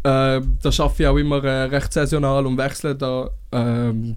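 A man with a plain, everyday voice, fairly high pitch and a fairly slow pace. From Switzerland, Winterthur area. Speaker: chef. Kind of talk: casual chat. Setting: studio.

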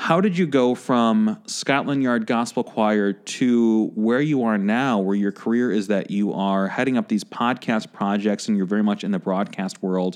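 An ordinary speaking voice from a man with an American accent, fairly low in pitch, moderate in pace, with ordinary pitch variation, very even loudness, and a quiet background. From Chicago. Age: 30s. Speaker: podcast host. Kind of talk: casual interview chat. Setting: studio.

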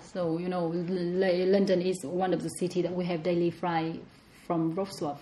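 A woman with a Vietnamese accent speaks at a moderate pace. Her voice is fairly low and dark, mellow in tone, with monotone, flat intonation. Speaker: home cook and podcast guest. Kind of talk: casual interview chat.

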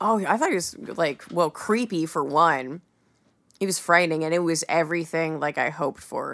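A woman speaks in a plain, everyday voice, fairly low in pitch with ordinary pitch variation and a moderate pace. The recording is very clean with a silent background. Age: 20s. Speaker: podcast guest, fantasy fan. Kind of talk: casual chat.

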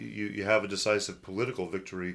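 Fairly low in pitch, a man speaks at a moderate pace with fairly even intonation on a very clean recording with a silent background. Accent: West Coast US. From US Pacific Northwest, Portland, Oregon. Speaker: executive pastor. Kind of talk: podcast discussion on theology.

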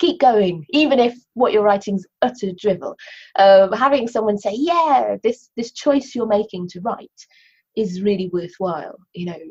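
Speaking at a fairly slow pace, a woman with a fairly high pitch sounds somewhat breathy, her intonation lively and her loudness swinging widely. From Cornwall, England. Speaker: poet and novelist. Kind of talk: interview about her writing, with poetry readings. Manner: hesitant, many fillers.

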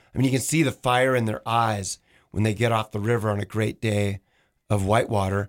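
A normal speaking voice in an American accent moves at a fairly quick pace with very even loudness and fairly even intonation, recorded very cleanly over a silent background. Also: man, fairly low pitch for a man. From Washington State. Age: 50s. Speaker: kayak shop owner and paddling coach. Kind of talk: casual radio interview. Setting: radio studio.

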